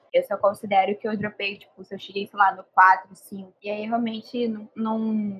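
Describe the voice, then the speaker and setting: Speaking at a fairly slow pace with hardly any pauses, a woman of medium pitch keeps a monotone, flat intonation while her loudness swings widely. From Brazil, Rio de Janeiro. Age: 20s. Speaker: podcast co-host, advertising student. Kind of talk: casual chat.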